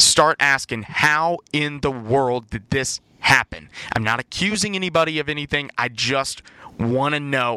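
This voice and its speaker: A man speaks in a normal speaking voice, fairly high in pitch, with ordinary pitch variation. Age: 20s. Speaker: sports podcast host, college student. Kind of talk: casual sports discussion podcast.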